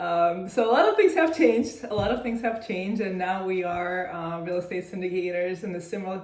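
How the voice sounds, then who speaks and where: Ordinary pitch variation with audible room echo. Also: woman. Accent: Russian. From Russia. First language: Russian. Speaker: real estate syndicator. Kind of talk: interview. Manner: hesitant, many fillers.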